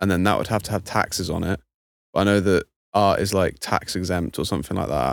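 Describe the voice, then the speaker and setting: The speech races at a very fast pace, with vocal fry. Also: man, very deep, low pitch for a man, ordinary pitch variation, very clean recording, silent background. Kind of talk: casual chat.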